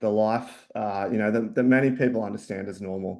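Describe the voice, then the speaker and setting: In an Australian accent, a man speaks with a fairly low pitch and a dark, mellow tone against a quiet background. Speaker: company founder and CEO. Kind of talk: webinar presentation. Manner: hesitant, many fillers.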